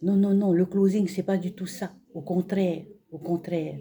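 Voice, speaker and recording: A woman with a medium pitch speaks in a dark, mellow tone that is somewhat breathy. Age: 60s. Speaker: retiree giving a testimonial. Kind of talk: testimony. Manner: halting, many fillers.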